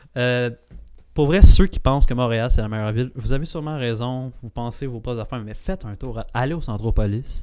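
A man with a Quebec accent at a fairly quick pace, ordinary pitch variation and big swings in loudness, over a quiet background. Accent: Québécois French. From Quebec, Laval. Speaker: podcast co-host. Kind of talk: casual chat. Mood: playful, joking about his city. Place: studio. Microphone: studio mic.

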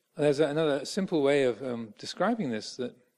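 A man speaks fairly quickly in an English accent. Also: quiet background. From England. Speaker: Buddhist monk; Buddhist monk teacher. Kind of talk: dharma talk. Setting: monastery. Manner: halting. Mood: calm, warm.

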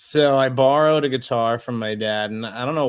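A man with an American accent talks with ordinary pitch variation over a quiet background. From Los Angeles, US. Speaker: musician and visual artist; interview guest. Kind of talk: casual interview. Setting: remote livestream. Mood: relaxed, casual. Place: home room.

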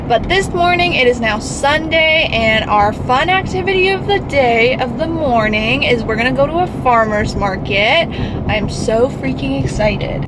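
Talking at a moderate pace with hardly any pauses, a woman is heard over noticeable background noise. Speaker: vlogger. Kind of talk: casual vlog chat. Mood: excited, upbeat. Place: car. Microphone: phone near.

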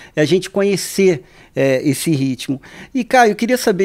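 A man is speaking. The background is quiet. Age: 50s. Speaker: radio podcast host. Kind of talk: interview. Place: studio. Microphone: studio mic.

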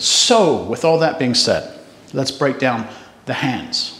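At a moderate pace, a man speaks in a room with audible echo. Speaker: tai chi instructor. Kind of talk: tutorial. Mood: calm, friendly. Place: home room.

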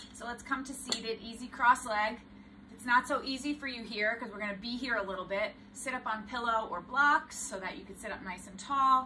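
With noticeable background noise behind her, a woman speaks at a fairly quick pace and with fairly even intonation. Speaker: yoga instructor. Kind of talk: tutorial. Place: home room. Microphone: camera far.

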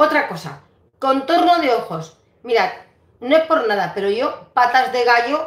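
Against a quiet background with audible room echo, a woman speaks at a moderate pace with lively intonation. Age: 60s. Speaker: beauty vlogger. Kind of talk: live stream beauty tips with viewer greetings; casual vlog chat, skincare tips. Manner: conversational, repetitive. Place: home room. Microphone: phone near.

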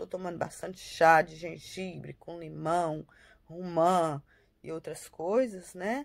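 Talking at a very slow pace, a woman has a fairly low pitch. Her pitch varies in an ordinary way. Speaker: family vlogger. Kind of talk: casual vlog update. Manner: halting, many fillers.

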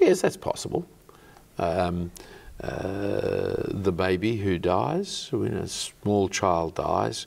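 A man talks with an Australian accent. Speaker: clergyman. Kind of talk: interview. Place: studio. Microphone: lapel.

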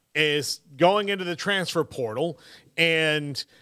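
A man talks with faint music in the background. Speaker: sports radio host. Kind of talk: commentary. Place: studio. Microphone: studio mic.

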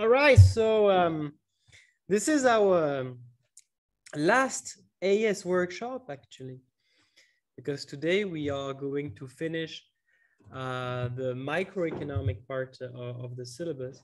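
A man talks at a very slow pace, his pitch swinging very widely and his loudness rising and falling sharply. Long pauses come often, and the background is quiet. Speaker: economics teacher. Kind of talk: online workshop lecture.

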